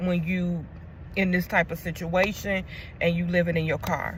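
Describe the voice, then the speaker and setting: A woman speaks in a somewhat breathy voice. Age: 40s. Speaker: vlogger. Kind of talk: casual vlog talk to camera. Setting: inside a car at night. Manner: halting, with fillers.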